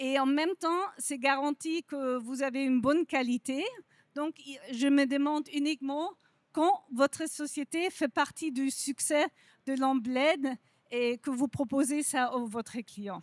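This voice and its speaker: A woman with a non-native accent speaks in a high pitch. Her pace is very slow. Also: ordinary pitch variation, dry, close sound with no echo. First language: not French (speaking French). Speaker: industry representative, lighting company. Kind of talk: conference presentation.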